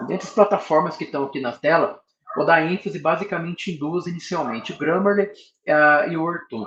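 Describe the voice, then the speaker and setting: The pitch is high for this male speaker. He talks at a fairly quick pace. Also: ordinary pitch variation. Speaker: professor giving research workshop. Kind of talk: lecture.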